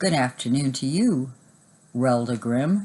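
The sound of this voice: A man in a put-on character voice speaks at a fairly slow pace, his raspy voice sitting at a medium pitch.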